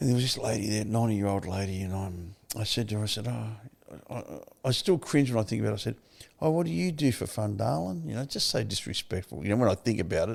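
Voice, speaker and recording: On a very clean recording with a silent background, a man with an Australian accent talks at a very fast pace with a fairly low pitch and lively intonation. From Victoria, Australia. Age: 70s. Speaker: recovery advocate and author. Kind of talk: interview testimony.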